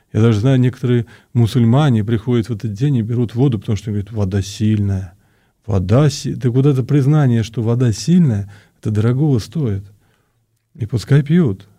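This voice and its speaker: A man's dark, mellow voice is somewhat breathy, heard in a very clean recording with a silent background. He talks at a fairly quick pace but with long, frequent pauses. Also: medium pitch for a man, ordinary pitch variation. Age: 50s. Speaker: Orthodox priest. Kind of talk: radio interview. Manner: halting, many fillers.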